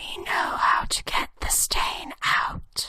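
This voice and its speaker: A whispered, put-on character voice at a very slow pace. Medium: audio drama. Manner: calm, oracular.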